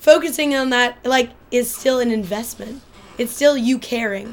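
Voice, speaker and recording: A woman with a plain, everyday voice talks at a fairly slow pace. Her pitch is fairly high, with ordinary variation. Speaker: film graduate. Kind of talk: casual chat.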